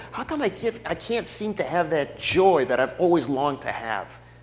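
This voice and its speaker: A man speaks at a fairly quick pace, his pitch swinging very widely. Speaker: pastor. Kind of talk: promotional announcement. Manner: warm, friendly.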